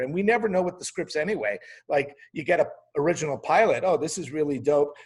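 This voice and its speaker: A man's somewhat breathy voice. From Quebec, Canada. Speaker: TV comedy writer and showrunner. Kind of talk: casual interview talk.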